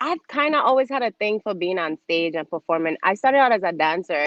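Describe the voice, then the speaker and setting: Her pitch swings very widely as the woman talks in an American accent. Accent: Crucian accent, toned down in US. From US Virgin Islands, St. Croix. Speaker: television host and producer, former pageant queen. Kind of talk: casual interview chat.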